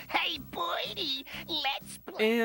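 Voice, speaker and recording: A cartoonish character voice that sounds female plays over faint background music. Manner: jeering, boisterous.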